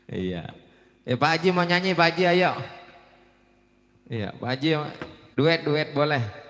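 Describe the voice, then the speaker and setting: An animated man with a fairly high voice speaks fairly slowly, his intonation lively and his pauses long and frequent. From Palembang, South Sumatra. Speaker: wedding MC. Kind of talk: event hosting. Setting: wedding reception with live music.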